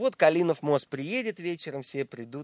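A man speaks with very wide swings in pitch. His voice sits fairly high, and the sound is dry and close with no echo. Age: 40s. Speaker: musician. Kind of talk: casual interview.

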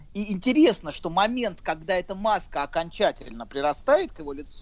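His pitch sits high. The man's intonation is lively. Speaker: psychologist. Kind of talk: casual chat.

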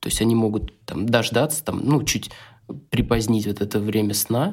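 The recording is very clean with a silent background, and the speech moves at a moderate pace with ordinary pitch variation. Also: man. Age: 30s. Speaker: photographer, father of two. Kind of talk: casual chat.

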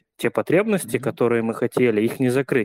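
A man's voice, dry and close with no echo. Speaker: frequent participant. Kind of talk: testimony.

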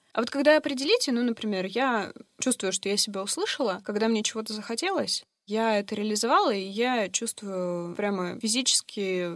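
In a normal speaking voice, a woman talks at a moderate pace with ordinary pitch variation. Her pitch is fairly high. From Russia, Yekaterinburg. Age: 30s. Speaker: life coach, former HR professional. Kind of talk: interview conversation.

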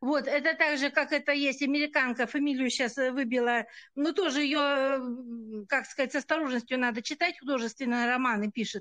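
At a fairly quick pace, a woman speaks in a high pitch with a bright, sharp tone, fairly even intonation and very even loudness against a quiet background. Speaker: listener. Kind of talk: casual chat. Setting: video call.

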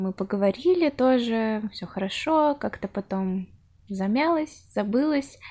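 Speaking at a very slow pace, a woman with a fairly high pitch and a dark, mellow tone comes through on a very clean recording with a silent background. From Russia, Chelyabinsk. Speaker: podcast host. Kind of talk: interview.

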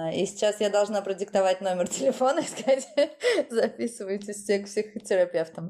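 A woman's normal speaking voice at medium pitch, fairly quick, with ordinary pitch variation and very even loudness. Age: 30s. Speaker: beautician and dance teacher, course founder. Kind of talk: casual interview.

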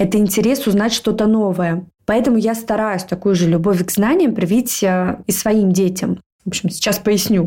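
A woman speaks at a moderate pace and medium pitch, her loudness very even and her tone dark and mellow. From Moscow, Russia. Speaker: podcast co-host. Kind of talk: casual chat.

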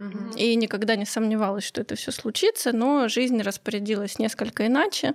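A woman speaks in a normal speaking voice, fairly high-pitched, with fairly even intonation and a dry, close sound with no echo. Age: 30s. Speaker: podcast host, guest. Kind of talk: casual chat. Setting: studio.

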